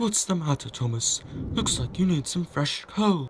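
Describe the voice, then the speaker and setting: At a moderate pace, a put-on character voice speaks at a middle pitch. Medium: machinima.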